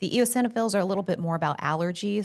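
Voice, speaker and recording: Against a quiet background, a woman talks very fast with ordinary pitch variation. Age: 50s. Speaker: doctor. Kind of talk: medical explainer podcast. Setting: podcast studio.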